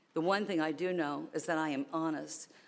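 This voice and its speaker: Heard in a very clean recording with a silent background, a woman with an American accent speaks in a fairly low pitch. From northern US. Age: 60s. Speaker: public commenter. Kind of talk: public comment at meeting. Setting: county commission chambers. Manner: fast; loud.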